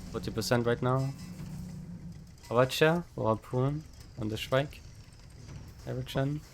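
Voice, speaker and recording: Over music in the background, a man speaks at medium pitch with fairly even intonation and long, frequent pauses. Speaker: game streamer and ship pilot. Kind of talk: live gameplay callouts. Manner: fast.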